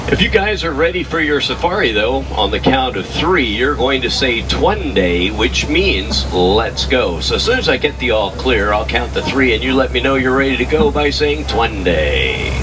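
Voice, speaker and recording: Music in the background behind a man talking at a moderate pace with hardly any pauses. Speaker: safari tour guide. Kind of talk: guided tour narration. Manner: whispering.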